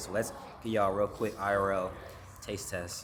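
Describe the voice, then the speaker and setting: A man speaks over noticeable background noise. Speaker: lifestyle vlogger. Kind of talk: casual vlog. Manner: animated.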